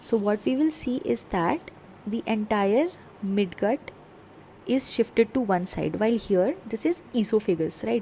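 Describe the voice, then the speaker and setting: The voice has a dark, mellow tone and is somewhat breathy. It moves at a fairly slow pace with lively intonation. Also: woman, fairly high pitch for a woman. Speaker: medical exam tutor. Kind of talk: lecture.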